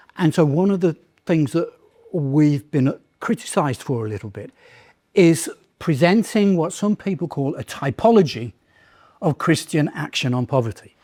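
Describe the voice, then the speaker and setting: A man with a British accent speaks at a moderate pace in a fairly high voice with a dark, mellow tone and lively intonation, leaving long, frequent pauses. The very clean recording has a silent background and a dry, close sound with no echo. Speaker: lecturer in political theology. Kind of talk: lecture Q&A answer.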